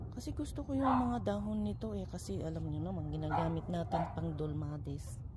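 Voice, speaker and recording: There is noticeable background noise and audible room echo as a woman talks at a fairly quick pace with hardly any pauses, her very deep, low pitch making very wide swings. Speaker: home gardening vlogger. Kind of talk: casual vlog narration. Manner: hesitant, many fillers.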